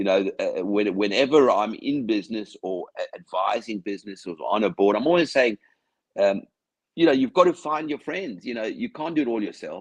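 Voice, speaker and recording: The sound is dry and close with no echo as a man speaks in an Australian accent. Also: moderate pace. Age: 60s. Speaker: business founder and company chair. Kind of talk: interview.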